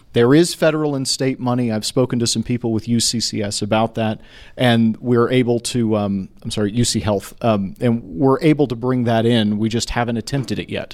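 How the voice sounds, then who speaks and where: A man speaks in a plain, everyday voice with an American accent, medium in pitch and fairly even in intonation. He keeps a moderate pace on a very clean recording with a silent background. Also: hardly any pauses. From Texas, Houston. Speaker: city council candidate, scientist. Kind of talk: candidate forum debate. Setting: stage with audience.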